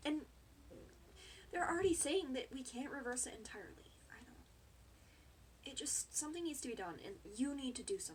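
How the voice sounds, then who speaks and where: A woman with an American accent speaks at a moderate pace and a high pitch. Her voice shows very wide pitch swings and big swings in loudness. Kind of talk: casual talk to camera, earnest and concerned. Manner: earnest, emotional.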